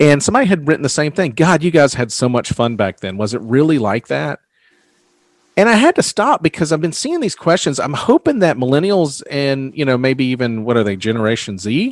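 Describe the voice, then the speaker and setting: The voice moves at a fairly quick pace with very wide pitch swings. The sound is dry and close, with no echo. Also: man, fairly high pitch for a man. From US South. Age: 40s. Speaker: podcast host. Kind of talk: casual chat.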